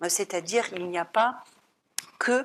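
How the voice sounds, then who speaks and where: A woman speaks with a German accent. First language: German (speaking French). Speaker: psychologist and psychoanalyst. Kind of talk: talk at an art gallery. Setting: art gallery talk. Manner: hesitant, many filler sounds.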